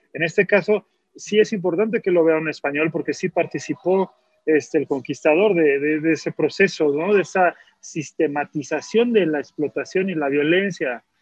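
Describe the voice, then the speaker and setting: Ordinary pitch variation from a man whose voice is high-pitched. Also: moderate pace. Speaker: film director. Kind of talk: casual chat.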